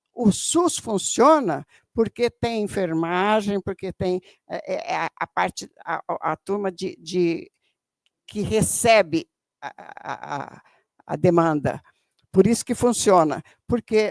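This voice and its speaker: Her voice sits at a medium pitch, and the woman's intonation is lively. She speaks at a very slow pace in a dry, close sound with no echo. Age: 70s. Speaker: audience member, educator and activist. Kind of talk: audience question at a seminar. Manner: halting.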